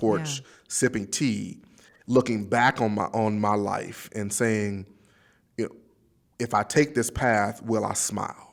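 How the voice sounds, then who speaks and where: A man with a Southern US accent, fairly low in pitch, at a very slow pace with fairly even intonation and long, frequent pauses, on a very clean recording with a silent background. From Pine Bluff, Arkansas. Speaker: nuclear engineer, minister, candidate for governor. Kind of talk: interview answer.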